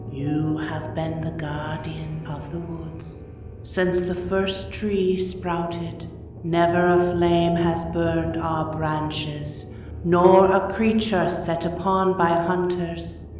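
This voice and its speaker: A breathy, put-on character voice moves at a very slow pace. Strong echo surrounds it, with clear music in the background. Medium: read story.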